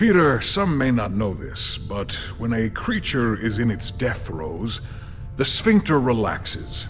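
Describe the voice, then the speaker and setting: A man puts on a character voice at a medium pitch. He speaks at a fairly slow pace over clear background noise. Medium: video game. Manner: formal, literal, deadpan.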